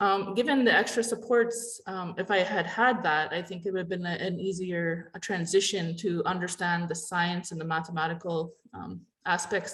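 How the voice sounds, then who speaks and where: With a Canadian accent, a woman talks at a moderate pace in a fairly low, somewhat breathy voice. Her pitch variation is ordinary. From Canada, Ojibwe reserve community. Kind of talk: panel discussion. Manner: halting, many fillers.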